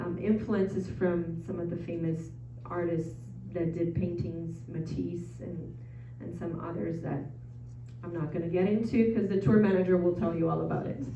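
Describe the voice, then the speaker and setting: Noticeable background noise runs through the clip. A woman talks, and audible room echo trails her words. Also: moderate pace. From Brazil, São Paulo. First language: Portuguese. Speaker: travel presenter. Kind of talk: info session presentation. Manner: casual, hesitant with many ums.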